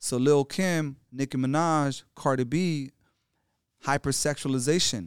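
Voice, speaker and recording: With an American accent and an unremarkable speaking voice, a man talks at a fairly slow pace, at a fairly high pitch with ordinary pitch variation, on a very clean recording with a silent background and a dry, close sound with no echo. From Los Angeles (South Central), partly Mexico. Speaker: hip-hop artist and educator. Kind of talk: casual interview chat. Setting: conference venue in New Orleans.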